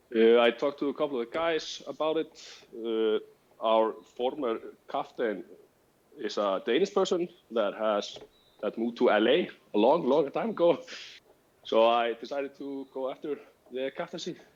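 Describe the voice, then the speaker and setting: A man speaks at a moderate pace with a medium pitch and lively intonation, leaving long, frequent pauses. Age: 20s. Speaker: wargaming team captain. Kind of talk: interview. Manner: halting.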